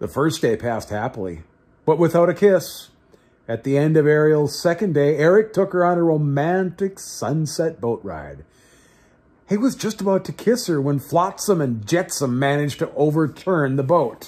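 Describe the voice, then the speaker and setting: The man's intonation is lively. His pace is moderate. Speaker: reader of a children's book. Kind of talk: storybook reading aloud. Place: home room. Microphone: phone near.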